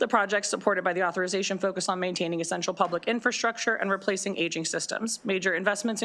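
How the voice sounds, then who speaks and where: A woman's medium-pitched, bright, sharp voice at a very fast pace, with fairly even intonation. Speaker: county government official. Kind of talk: testimony. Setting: legislative committee hearing. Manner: formal.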